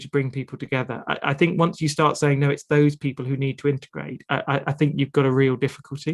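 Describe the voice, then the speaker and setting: With hardly any pauses, a man rattles along at a very fast pace in a fairly high pitch with monotone, flat intonation, the sound dry and close with no echo. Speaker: author. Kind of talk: webinar interview. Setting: video call.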